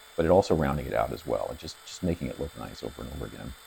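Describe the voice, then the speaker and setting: Over noticeable background noise, a man talks at a very fast pace. His voice is very deep and low, with lively intonation. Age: 60s. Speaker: EDC tool reviewer. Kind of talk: tutorial. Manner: halting.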